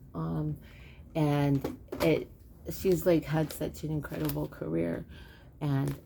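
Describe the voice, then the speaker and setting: Soft-spoken woman at a fairly slow pace. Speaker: home cook video host. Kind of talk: casual chat. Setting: outdoors. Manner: hesitant, many fillers.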